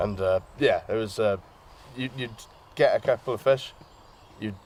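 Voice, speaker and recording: Ordinary pitch variation marks this man's speech in a Welsh accent. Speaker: angler. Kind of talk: interview.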